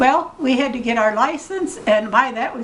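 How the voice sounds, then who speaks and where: There is audible room echo and noticeable background noise as a woman speaks at a high pitch and fairly slow pace with lively intonation. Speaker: retired chiropractor. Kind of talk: family interview, storytelling. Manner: halting.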